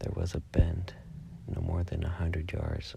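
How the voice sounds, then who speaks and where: At a fairly slow pace, the speech comes through noticeable background noise. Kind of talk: ASMR horror story reading.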